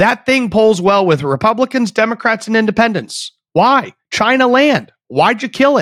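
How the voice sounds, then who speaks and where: With very even loudness, a man talks in an animated tone at a high pitch. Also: lively intonation, moderate pace, dry, close sound with no echo. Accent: American. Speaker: political commentator podcast host. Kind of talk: political commentary monologue. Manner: animated, conversational.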